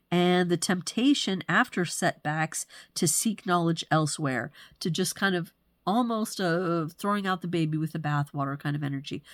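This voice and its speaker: Speaking in a plain, everyday voice, a woman talks at a medium pitch and moderate pace with ordinary pitch variation, the sound dry and close with no echo. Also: very clean recording, silent background. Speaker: human design astrology presenter. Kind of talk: solo forecast monologue. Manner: casual, with fillers.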